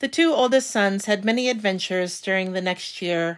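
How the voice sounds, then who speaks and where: A woman's normal speaking voice at a medium pitch, with ordinary pitch variation and a moderate pace, in a very clean recording with a silent background. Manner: measured, storyteller-like, wry and formal tone.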